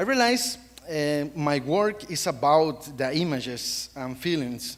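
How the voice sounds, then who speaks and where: With a Costa Rican accent, a man speaks very slowly at a fairly high pitch, his voice swinging very widely in pitch. Noticeable background noise is present. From Costa Rica, central Pacific coast. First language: Spanish. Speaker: wildlife photographer. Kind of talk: panel presentation. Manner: halting.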